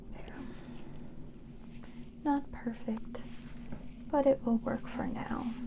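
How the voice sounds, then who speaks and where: Over noticeable background noise, a woman speaks very slowly in a high, monotone, flat voice with long, frequent pauses. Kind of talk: ASMR laundry folding talk. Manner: soft-spoken, soothing, slow.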